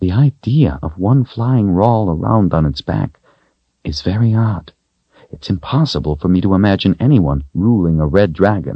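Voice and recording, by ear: A man puts on a character voice, low-pitched with a slightly husky edge and lively intonation. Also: moderate pace.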